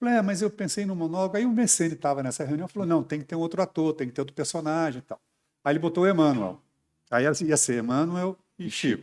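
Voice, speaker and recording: A man's fairly high voice, lively in intonation and very fast, on a very clean recording against a silent background. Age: 60s. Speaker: stage and TV actor. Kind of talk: interview.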